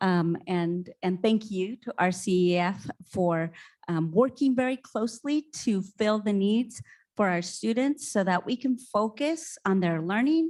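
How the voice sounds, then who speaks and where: Lively intonation at a fairly slow pace. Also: woman, medium pitch for a woman. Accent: Spanish. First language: Spanish. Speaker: school principal. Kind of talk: panel discussion.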